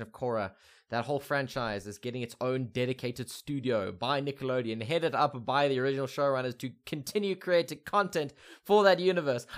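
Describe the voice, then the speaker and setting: Recorded very cleanly against a silent background, a man with a medium pitch speaks in a plain, everyday voice with lively intonation. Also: fairly quick pace. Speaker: podcast host.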